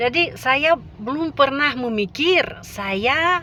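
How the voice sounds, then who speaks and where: A woman with a Russian accent, with noticeable background noise. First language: Russian (speaking Indonesian). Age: 50s. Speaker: language teacher. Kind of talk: casual vlog talk. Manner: halting with many fillers.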